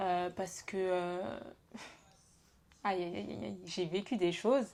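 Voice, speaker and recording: Her pitch sits in the medium range as this woman speaks very slowly with lively intonation. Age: 20s. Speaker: podcast host. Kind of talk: casual chat.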